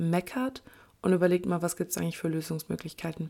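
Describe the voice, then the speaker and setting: Talking at a very fast pace, a woman has a fairly low pitch and a dark, mellow tone. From Germany, Kleve (Lower Rhine). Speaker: podcast host, trainee lawyer. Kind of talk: solo monologue podcast. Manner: casual, with filler sounds and laughs.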